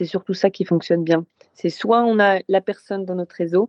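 A woman speaking at a moderate pace. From northern France, Lille. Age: 30s. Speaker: Olympic sailor. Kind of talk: casual interview.

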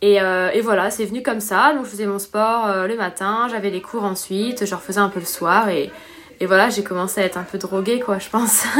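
Against noticeable background noise, a woman talks at a moderate pace, with medium pitch and fairly even intonation. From La Réunion. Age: 20s. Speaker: professional triathlete. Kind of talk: interview.

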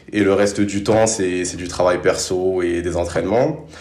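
A man talks at a fairly slow pace. The room echo is audible, and there is noticeable background noise. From Paris suburbs, France. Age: 20s. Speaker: sprinter and business student. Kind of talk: interview.

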